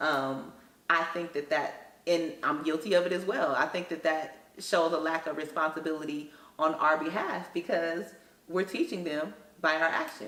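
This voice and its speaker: Amid noticeable background noise and audible room echo, a woman with a very deep, low pitch speaks at a moderate pace with fairly even intonation. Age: 30s. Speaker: school counselor. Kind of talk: interview.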